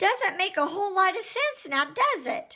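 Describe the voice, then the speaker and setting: A squeaky, put-on character voice at an extremely high pitch and a moderate pace. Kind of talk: children's book read aloud. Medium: read story. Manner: wry, casual storytelling.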